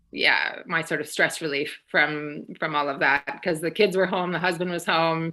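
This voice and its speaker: A woman speaks at a fairly slow pace in a bright, sharp tone. The background is quiet. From Canada, Toronto. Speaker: quilting channel creator. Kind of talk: live interview.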